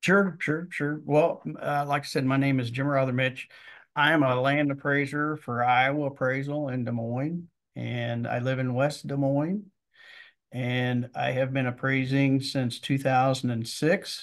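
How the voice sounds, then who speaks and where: A man with a Midwestern American accent talks at a fairly slow pace. His medium pitch holds fairly even intonation over a quiet background. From Missouri. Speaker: land appraiser. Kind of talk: interview. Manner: halting.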